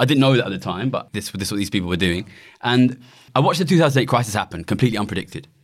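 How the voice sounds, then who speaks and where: A man's medium-pitched voice with very wide pitch swings and an East London accent. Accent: East London, noticeable. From Ilford, East London. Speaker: economist and campaigner, former trader. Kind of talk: casual interview chat.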